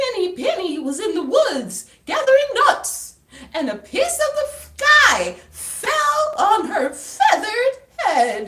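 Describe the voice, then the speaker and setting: The voice is an exaggerated, put-on character. Its delivery crawls along very slowly. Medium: read story. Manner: prim and proper.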